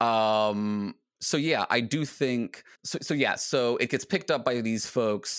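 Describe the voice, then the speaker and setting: A man with an American accent has an unremarkable speaking voice at a medium pitch, speaking at a fairly slow pace with ordinary pitch variation and very even loudness. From US Virginia. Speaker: philosophy podcaster and PhD student. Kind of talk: casual interview chat.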